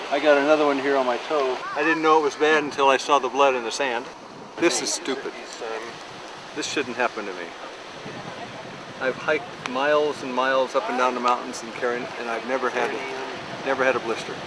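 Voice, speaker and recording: Over noticeable background noise, a man talks at a fairly quick pace but leaves long, frequent pauses. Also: medium pitch for a man, fairly even intonation. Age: 50s. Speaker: expedition member. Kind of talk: casual chat.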